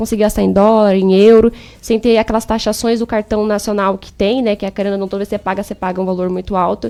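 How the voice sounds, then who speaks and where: A woman's fairly high, monotone voice with flat intonation at a very fast pace. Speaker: exchange agency consultant. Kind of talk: radio interview, sales pitch.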